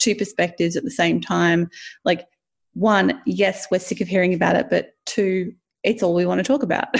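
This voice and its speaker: At a moderate pace, a woman speaks in a medium pitch with vocal fry, on a very clean recording with a silent background. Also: ordinary pitch variation. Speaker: podcast co-host. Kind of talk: casual chat.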